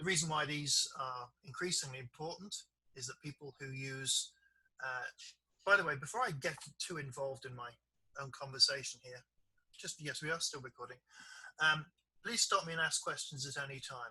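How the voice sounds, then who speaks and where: A man with a British accent, bright and sharp in tone and fairly high in pitch, at a moderate pace with ordinary pitch variation and long, frequent pauses. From Britain. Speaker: software developer and trainer. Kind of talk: online training session.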